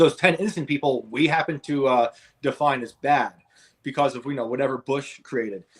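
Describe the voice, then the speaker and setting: With a northern US accent, a man speaks at a fairly quick pace and fairly high pitch, showing ordinary pitch variation and big swings in loudness. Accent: northern US (Yankee). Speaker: author and podcast host. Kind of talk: interview. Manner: halting, with fillers.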